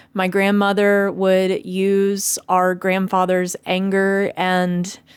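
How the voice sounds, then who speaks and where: A woman of medium pitch with a Southern US accent speaks at a very slow pace, the sound dry and close with no echo. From US South, Tennessee. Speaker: video blogger. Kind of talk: personal monologue.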